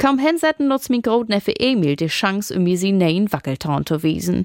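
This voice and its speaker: A woman at a moderate pace with very wide pitch swings, in a dry, close sound with no echo. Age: 30s. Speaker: storyteller. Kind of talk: scripted narration.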